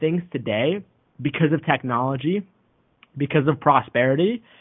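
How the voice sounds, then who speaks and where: A man with an ordinary speaking voice. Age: 20s. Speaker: podcast host and author. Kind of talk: interview conversation.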